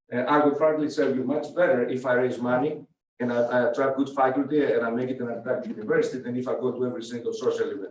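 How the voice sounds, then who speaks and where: A man with an American accent, at a very fast pace. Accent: foreign accent (joked as Rhode Island accent). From from another country, not US. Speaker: university president. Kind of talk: Q&A with student senate. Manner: halting, many repetitions and fillers.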